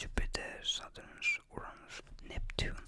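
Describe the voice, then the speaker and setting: Whispering at a very slow pace comes through noticeable background noise. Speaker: ASMR creator. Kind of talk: ASMR space facts ramble. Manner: whispered.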